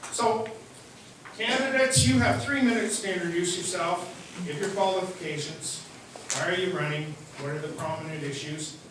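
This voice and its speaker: A loud man with a high voice speaks at a moderate pace, using lively intonation and long, frequent pauses. Noticeable background noise and audible room echo are present. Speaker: community association president moderating. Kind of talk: public meeting moderation. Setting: community centre hall with audience, microphone.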